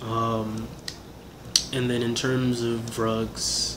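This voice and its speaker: A man's voice with fairly even intonation against noticeable background noise. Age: 20s. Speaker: actor and independent filmmaker. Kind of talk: casual interview.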